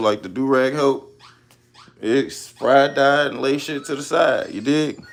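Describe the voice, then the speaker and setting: Amid noticeable background noise, a man talks fairly slowly at a fairly high pitch. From Chicago, US Midwest. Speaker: live streamer. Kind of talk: casual livestream chat with viewers. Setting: live stream. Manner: animated.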